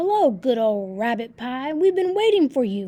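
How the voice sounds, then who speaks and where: A woman's high, put-on character voice with very wide pitch swings at a moderate pace. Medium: read story.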